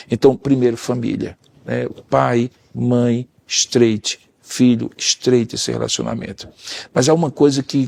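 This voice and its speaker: At a moderate pace, a man speaks with monotone, flat intonation in a dry, close sound with no echo. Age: 60s. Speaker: pastor and counselor.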